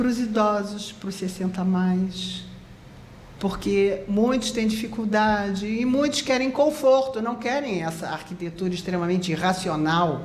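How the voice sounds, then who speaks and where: Audible room echo surrounds a woman at medium pitch who talks at a fairly slow pace with ordinary pitch variation. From Rio de Janeiro, Brazil. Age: 70s. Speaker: architect. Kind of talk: interview.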